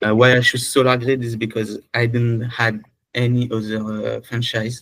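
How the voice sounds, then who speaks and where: This man speaks at a medium pitch and a moderate pace, his intonation monotone and flat. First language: French. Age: 20s. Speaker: prospective franchise owner. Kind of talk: video call introduction. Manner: halting.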